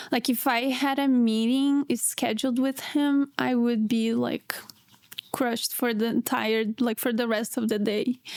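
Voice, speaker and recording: Her intonation flat and monotone, a woman with a Portuguese accent speaks fairly slowly at a high pitch, keeping her loudness very even. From Brazil. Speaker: PhD student. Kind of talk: casual chat.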